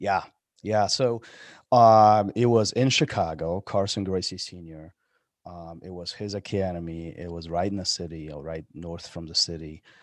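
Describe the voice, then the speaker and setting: A man talks at a moderate pace with a very deep, low pitch and ordinary pitch variation. His loudness swings a lot, in a very clean recording with a silent background. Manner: halting.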